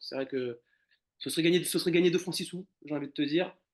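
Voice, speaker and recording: Over a quiet background, a man speaks at a very fast pace with a fairly high pitch and fairly even intonation. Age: 30s. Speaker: animal shelter caretaker. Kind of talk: casual interview conversation. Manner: hesitant, many fillers and repetitions.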